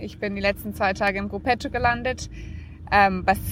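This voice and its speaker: An unremarkable speaking voice at a moderate pace. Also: woman. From Namibia. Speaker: professional cyclist. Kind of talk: interview.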